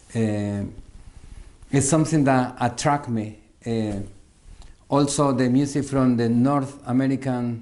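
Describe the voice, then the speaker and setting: In a dark, mellow tone, a man with a Salvadoran accent speaks at a fairly slow pace with fairly even intonation and long, frequent pauses, with audible room echo around him. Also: medium pitch for a man. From El Salvador. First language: Spanish. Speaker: musician. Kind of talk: interview. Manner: halting, many fillers and repeats.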